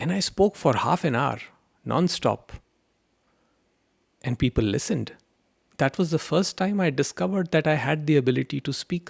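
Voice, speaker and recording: A man with a fairly high pitch and vocal fry uses lively intonation. His speech has long, frequent pauses and a dry, close sound with no echo. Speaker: spiritual teacher. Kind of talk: spiritual talk answering a question. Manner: slow.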